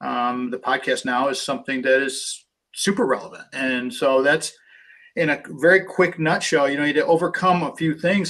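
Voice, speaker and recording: A man speaks at a moderate pace with fairly high pitch and ordinary pitch variation. His is an ordinary speaking voice. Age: 60s. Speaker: author and radio host. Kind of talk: interview.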